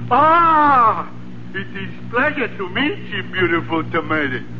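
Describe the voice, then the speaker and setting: A man puts on a character voice and moves at a fairly slow pace, with loud noise behind him. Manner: flirtatious, overdone.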